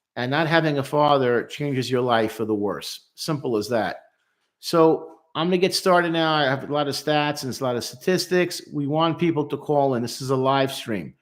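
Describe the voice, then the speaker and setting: A man speaks at a moderate pace in a normal speaking voice, his pitch fairly high with ordinary variation, on a very clean recording with a silent background. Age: 60s. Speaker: clinical social worker. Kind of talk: live stream talk. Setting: live stream.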